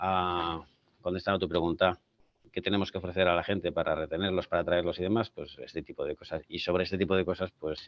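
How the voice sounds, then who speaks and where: Very deep and low in pitch, a man's voice moves at a very fast pace. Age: 50s. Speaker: tech company CEO. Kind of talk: panel discussion. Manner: halting.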